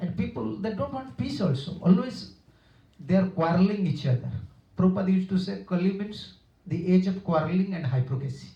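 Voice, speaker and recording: Lively in intonation and fairly quick in pace, a man with an Odia accent speaks at a high pitch with a dark, mellow tone. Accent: Indian (Odia). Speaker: monk / spiritual teacher. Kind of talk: religious discourse. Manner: halting, with self-corrections.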